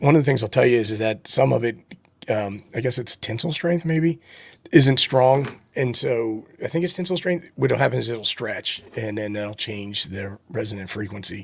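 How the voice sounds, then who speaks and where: In a put-on character voice, a man speaks at a medium pitch and moderate pace, raspy, with lively intonation. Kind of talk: conversational, technical talk.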